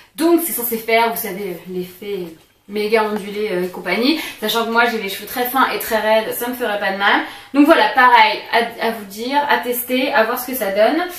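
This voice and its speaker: Noticeable background noise and audible room echo surround a woman's fairly high voice. She speaks at a moderate pace with ordinary pitch variation and big swings in loudness. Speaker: beauty vlogger. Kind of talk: product haul video. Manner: halting, many hesitations.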